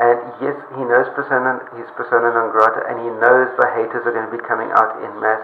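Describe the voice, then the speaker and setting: At a moderate pace, a man speaks amid light background noise, with room echo audible. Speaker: cycling coach vlogger. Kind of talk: casual vlog commentary. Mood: earnest, appealing. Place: bathroom. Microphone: webcam.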